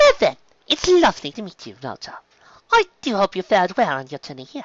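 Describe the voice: A man's put-on character voice, high for a man, with a fairly bright tone, very wide pitch swings and a fairly quick pace, in a dry, close sound with no echo.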